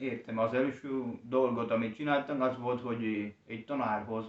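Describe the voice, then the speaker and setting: A man talks at a fairly slow pace. His intonation is flat and monotone. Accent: Spanish. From Colombia. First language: Spanish (speaking Hungarian). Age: young. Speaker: language learner and teacher. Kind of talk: interview. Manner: halting.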